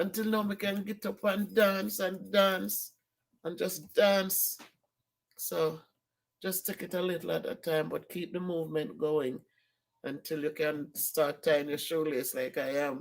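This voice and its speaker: The speaker has a Caribbean accent and talks at a fairly slow pace. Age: 60s. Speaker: vlogger. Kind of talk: casual vlog. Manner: animated.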